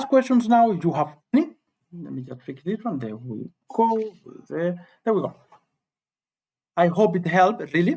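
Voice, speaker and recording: A man at a moderate pace, high in pitch, with a dark, mellow tone, very wide pitch swings, big swings in loudness, and long, frequent pauses. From Cuba. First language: Spanish. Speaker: high school physics teacher. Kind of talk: live-stream tutorial. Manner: halting, repetitive.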